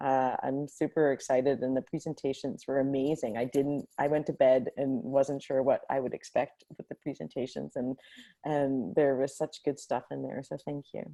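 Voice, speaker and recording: A soft-spoken woman talks at a moderate pace with a very deep, low pitch. Her tone is dark and mellow, and her intonation is fairly even. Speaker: hackathon facilitator. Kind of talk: casual reflection on video call. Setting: video call from home. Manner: halting.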